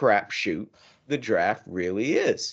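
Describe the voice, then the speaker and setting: Vocal fry runs through the voice over a quiet background. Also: man. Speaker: hockey podcast co-host. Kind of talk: casual chat.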